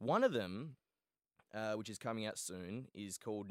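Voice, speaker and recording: A man with an Australian accent speaks at a moderate pace and fairly low pitch, with ordinary pitch variation. The sound is dry and close with no echo, in a very clean recording with a silent background. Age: 20s. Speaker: Twitch streamer and podcast host. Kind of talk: casual chat. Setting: studio. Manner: joking, banter.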